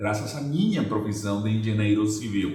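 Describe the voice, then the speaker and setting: Over noticeable background noise and audible room echo, a man with a Venezuelan accent speaks with ordinary pitch variation. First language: Spanish (speaking Portuguese). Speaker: real estate agency owner and trainer. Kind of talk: educational presentation. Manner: halting, with many fillers and repetitions.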